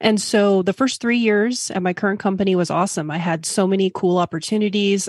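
A woman with an ordinary speaking voice, fairly quick pace and fairly even intonation, in a dry, close sound with no echo and a quiet background. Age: 40s. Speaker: finance professional changing careers. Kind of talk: interview.

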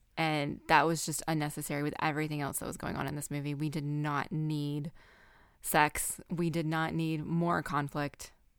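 A woman speaks with an American accent in a very deep, low pitch. Her intonation is monotone and flat, and the recording is very clean with a silent background. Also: moderate pace. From US South. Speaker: podcast host. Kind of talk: casual chat.

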